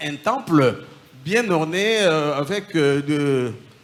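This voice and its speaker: The man here has a fairly high pitch. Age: 60s. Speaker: former occultist giving testimony. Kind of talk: testimony.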